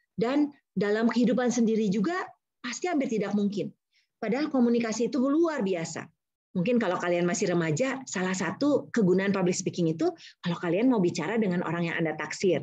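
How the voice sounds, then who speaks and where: Speaking very fast, a woman with a medium pitch uses lively intonation over a quiet background. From Indonesia. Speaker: university lecturer and public speaking trainer; university lecturer, public speaking trainer. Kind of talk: webinar talk. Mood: warm, encouraging. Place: home room. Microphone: video call.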